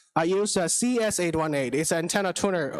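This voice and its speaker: Speaking at a moderate pace, a man with a Chinese accent uses ordinary pitch variation. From China. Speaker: business founder and ham radio operator. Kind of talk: conference talk. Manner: halting.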